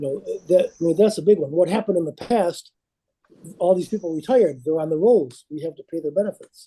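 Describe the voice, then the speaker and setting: Talking at a fairly quick pace, a man uses lively intonation and a dark, mellow tone. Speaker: actuary. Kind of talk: presentation to a committee. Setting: virtual meeting. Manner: fast.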